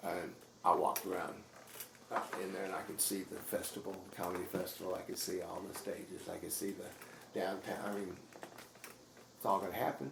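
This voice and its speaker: At a fairly quick pace, the voice comes through audible room echo and noticeable background noise. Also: man. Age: 60s. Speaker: stand-up comedian. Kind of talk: casual interview. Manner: halting, repetitive false starts.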